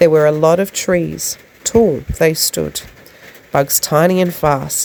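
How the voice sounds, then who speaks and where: A woman with an Australian accent talks at a fairly slow pace in a fairly low pitch, with noticeable background noise behind her. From South Australia. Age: 20s. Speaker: poet. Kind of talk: poetry reading. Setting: recorded in the rain.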